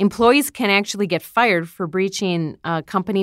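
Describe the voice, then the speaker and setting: In a plain, everyday voice, a woman talks at a moderate pace with ordinary pitch variation. The recording is very clean, with a silent background and a dry, close sound with no echo. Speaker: radio host. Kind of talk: casual panel discussion.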